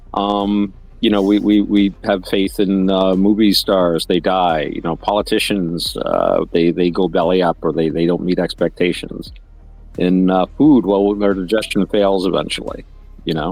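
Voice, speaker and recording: Very deep and low in pitch, a man talks at a moderate pace with fairly even intonation. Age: 60s. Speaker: podcast co-host. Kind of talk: casual discussion. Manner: relaxed, conversational with many fillers.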